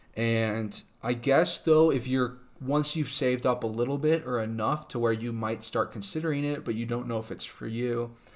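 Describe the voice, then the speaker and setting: A man talks in a plain, everyday voice. His pitch sits in the middle range, and his intonation is fairly even. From California. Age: 20s. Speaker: podcast guest, host's boyfriend and new homeowner. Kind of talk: casual chat. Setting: home dining room.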